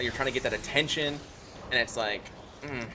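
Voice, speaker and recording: A man rattles off his words at a very fast pace. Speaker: streamer. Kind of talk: casual chat. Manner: loud and boisterous in short videos, normal here.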